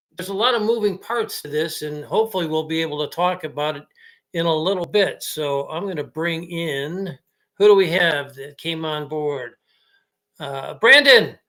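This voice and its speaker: Recorded very cleanly against a silent background, a man speaks at a moderate pace in a high pitch with ordinary pitch variation, a bright, sharp tone and big swings in loudness. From Chicago area, Illinois. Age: 60s. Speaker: sports podcast host. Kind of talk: casual sports podcast chat. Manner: hesitant, many fillers.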